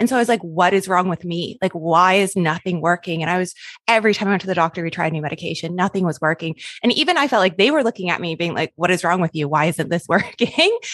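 Talking at a very fast pace, a woman uses a fairly low pitch with ordinary pitch variation, recorded with a dry, close sound and no echo. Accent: Canadian. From Canada. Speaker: podcast host. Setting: video call.

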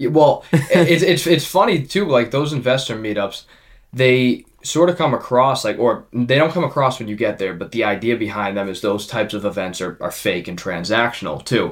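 An unremarkable speaking voice with lively intonation, a moderate pace and hardly any pauses, on a very clean recording with a silent background. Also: man, medium pitch for a man. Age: 20s. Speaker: podcast host and young real estate investor. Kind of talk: casual interview chat.

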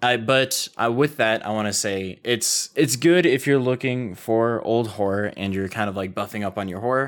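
A man with a plain, everyday voice speaks at a moderate pace and a medium pitch, with hardly any pauses. His pitch variation is ordinary, and the recording is very clean with a silent background. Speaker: podcast co-host. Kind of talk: casual banter. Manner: relaxed, joking, chatty.

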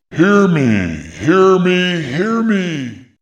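A man's put-on character voice, high-pitched with lively intonation. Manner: urgent, loud, shouting.

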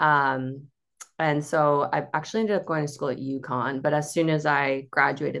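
A woman with an American accent speaks at a moderate pace in a very deep, low pitch over a quiet background. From Cape Cod, Massachusetts. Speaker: dietitian. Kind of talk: casual interview chat.

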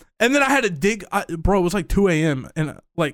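A man talks in an ordinary speaking voice. The recording is very clean, with a silent background. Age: 20s. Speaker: podcast host and streamer. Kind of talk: casual chat.

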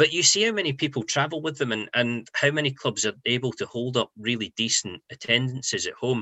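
A man's medium-pitched voice with a Scottish accent, fairly quick, with hardly any pauses and ordinary pitch variation. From Scotland, near Edinburgh. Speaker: football journalist. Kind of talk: interview.

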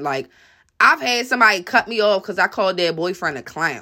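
A woman speaks loudly. Her tone is bright and sharp. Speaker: podcast commentator. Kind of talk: angry rant, profanity-heavy opinion monologue. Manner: aggressive, blunt, loud and defiant; confrontational, repeatedly asking 'you feel me'.

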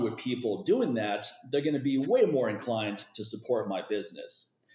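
Ordinary pitch variation marks a man's plain, everyday voice. He keeps a moderate pace. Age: 40s. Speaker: fitness expert. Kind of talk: casual chat.

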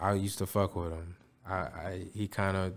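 A man's very deep, low voice at a moderate pace, on a very clean recording with a silent background. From Chicago area. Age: 20s. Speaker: rapper. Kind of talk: casual chat.

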